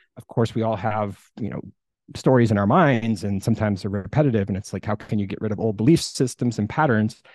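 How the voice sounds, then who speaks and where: A man with an American accent talks at a very fast pace in a fairly low pitch, with ordinary pitch variation and a quiet background. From US Midwest, Iowa. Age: 40s. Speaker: music producer and retreat host. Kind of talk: casual interview. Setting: video call.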